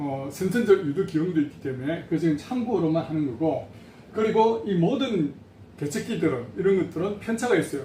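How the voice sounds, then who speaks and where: A man speaks at a moderate pace with a high pitch and lively intonation, over noticeable background noise. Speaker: patient association president. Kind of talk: educational talk.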